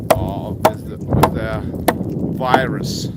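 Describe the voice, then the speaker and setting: Noticeable background noise runs under the speech. Delivery is very slow. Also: man. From Russia. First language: Russian. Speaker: online seller and vlogger. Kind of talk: vlog monologue. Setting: outdoors, walking in a residential yard. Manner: halting, many fillers.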